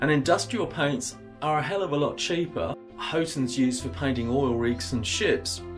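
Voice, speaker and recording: Over music in the background, a man's voice swings very widely in pitch. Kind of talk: tutorial. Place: home room.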